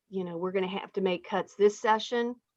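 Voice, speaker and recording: With a plain, everyday voice, a woman speaks at a medium pitch with fairly even intonation. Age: 60s. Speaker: state legislator hosting town hall. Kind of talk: town hall discussion. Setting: video call.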